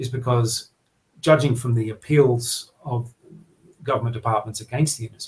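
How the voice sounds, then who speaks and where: A somewhat breathy man with an Australian accent, medium in pitch, with fairly even intonation. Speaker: journalist, regional editor. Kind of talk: podcast interview. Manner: halting, many fillers and repetitions.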